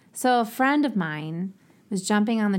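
A woman with a slight Ohio accent sounds animated, her intonation lively and her pace fairly slow, in a very clean recording over a silent background. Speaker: podcast host. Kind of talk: casual chat, interview. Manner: chatty, animated.

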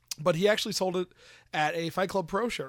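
Over a very clean recording with a silent background, a man with an American accent talks at a fairly quick pace in an unremarkable speaking voice with ordinary pitch variation. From Pennsylvania. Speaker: wrestling podcast guest. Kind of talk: casual chat.

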